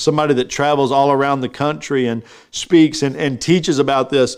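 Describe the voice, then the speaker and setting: Speaking in an American accent, a man with a fairly high pitch keeps a moderate pace and an animated tone on a very clean recording with a silent background. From Texas. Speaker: pastor. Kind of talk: sermon. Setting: live stream.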